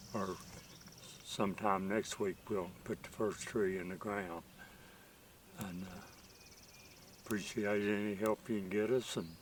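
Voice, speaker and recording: Speaking in an Appalachian accent, a man has a fairly low pitch and monotone, flat intonation, moving at a fairly slow pace with long, frequent pauses. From West Virginia, Rainelle area. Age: 80s+. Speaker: orchard planter, landowner. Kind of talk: casual interview. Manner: halting.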